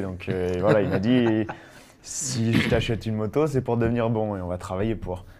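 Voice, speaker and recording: At a fairly slow pace, a man with a plain, everyday voice speaks in a fairly low pitch with fairly even intonation. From Savoie, France. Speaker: trial rider. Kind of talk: interview.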